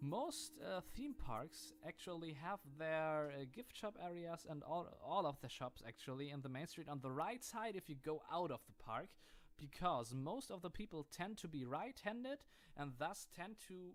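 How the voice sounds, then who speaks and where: Speaking with a German accent, a man has a fairly high pitch. His intonation is lively and his pace is moderate. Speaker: gaming YouTuber. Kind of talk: gameplay commentary. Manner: hesitant, many fillers.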